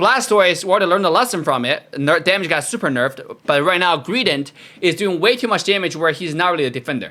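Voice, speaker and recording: A man talks very fast in a high, bright, sharp voice, barely pausing. His intonation is lively. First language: not English. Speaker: gaming YouTuber. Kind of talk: video game commentary. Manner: animated.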